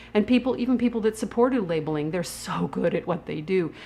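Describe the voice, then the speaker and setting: A woman speaks with lively intonation. Noticeable background noise runs under her voice. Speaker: food activist. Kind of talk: casual talk to camera.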